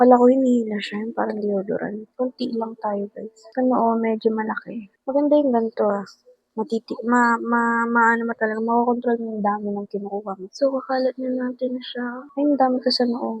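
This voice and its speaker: Soft-spoken whispering at a fairly quick pace with hardly any pauses, dry and close with no echo. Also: woman. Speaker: vlogger. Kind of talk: vlog, get ready with me.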